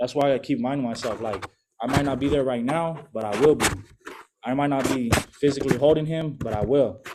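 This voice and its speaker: With a plain, everyday voice, a man speaks at medium pitch and a fairly quick pace, his intonation fairly even. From Southern California (Long Beach, San Fernando Valley). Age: 20s. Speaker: person in addiction recovery. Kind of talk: testimony. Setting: recovery meeting with audience. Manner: casual, slangy.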